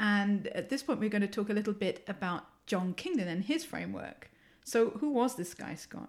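Her pitch sits in the medium range for a woman, and her intonation is lively. She speaks with an English accent and sounds somewhat breathy. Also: moderate pace. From England. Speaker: university professor and podcast host. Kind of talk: casual academic discussion.

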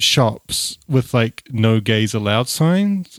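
Lively in intonation, a man speaks in a dry, close sound with no echo. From Dunedin, New Zealand. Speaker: podcast host, atheist. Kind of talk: casual conversational discussion. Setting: remote call from Los Angeles.

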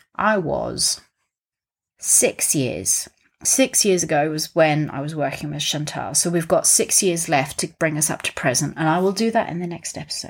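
Lively in intonation and moving at a moderate pace, a woman with a very deep, low pitch and vocal fry is heard in a very clean recording with a silent background. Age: 30s. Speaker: mindset coach and airline pilot. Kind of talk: solo podcast monologue. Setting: home study, sitting on the floor. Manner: animated.

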